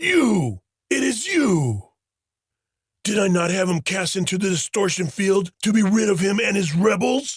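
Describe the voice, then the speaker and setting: A man in a put-on character voice, high-pitched, with lively intonation at a moderate pace. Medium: audio drama. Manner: imperious, bellowing.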